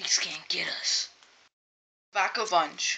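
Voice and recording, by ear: A raspy, female-sounding voice puts on a cartoonish character.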